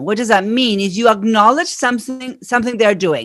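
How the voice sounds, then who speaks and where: A woman in an Argentine accent, fairly high-pitched, with lively intonation. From Argentina. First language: Spanish. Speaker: marketing strategist. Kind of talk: podcast interview.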